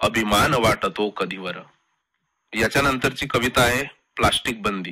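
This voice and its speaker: With ordinary pitch variation, the man talks in a bright, sharp tone. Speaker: poet. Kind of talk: poetry reading. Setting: radio studio.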